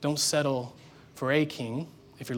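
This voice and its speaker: In a very clean recording with a silent background, a man speaks at a medium pitch in a monotone, flat intonation. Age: 30s. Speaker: pastor. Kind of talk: sermon.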